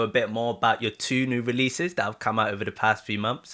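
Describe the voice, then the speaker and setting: In an English accent, a man with a bright, sharp tone and medium pitch speaks with ordinary pitch variation on a very clean recording with a silent background. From UK. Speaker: reaction channel host, interviewer. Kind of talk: interview. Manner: halting, many fillers.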